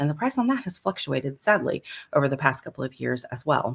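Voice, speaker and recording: A woman with a very deep, low pitch speaks in a somewhat breathy voice, her pitch swinging very widely. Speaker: personal chef. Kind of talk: live stream tutorial. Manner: fast; casual, filler-heavy.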